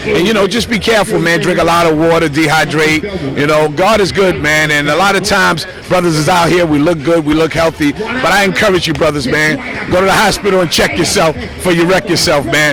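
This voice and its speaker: With audible room echo and noticeable background noise, a man talks at a fairly quick pace in a fairly high pitch with ordinary pitch variation. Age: 60s. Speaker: basketball player. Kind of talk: casual shout-outs to camera. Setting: outdoors at basketball park.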